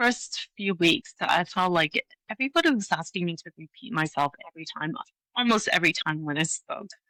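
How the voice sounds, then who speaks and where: A woman with a slight Hong Kong accent speaks at medium pitch with a bright, sharp tone and lively intonation. Her fairly quick delivery has big swings in loudness, in a dry, close sound with no echo. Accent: slight British-tinged Hong Kong. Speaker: leadership coach. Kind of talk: interview.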